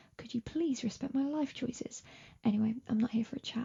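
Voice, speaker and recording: A woman whispers at a fairly quick pace. She has an English accent. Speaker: podcast co-host. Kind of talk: recorded announcement. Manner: whispering.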